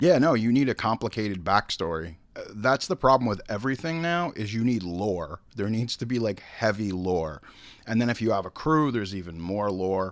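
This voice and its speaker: Speaking in an ordinary speaking voice, a man with a fairly low pitch keeps a moderate pace and lively intonation on a very clean recording with a silent background. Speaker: podcast host. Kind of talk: casual podcast talk.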